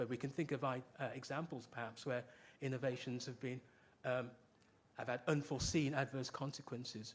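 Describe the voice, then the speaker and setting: A man of medium pitch speaks with a British accent. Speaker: professor. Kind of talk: lecture. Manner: fast.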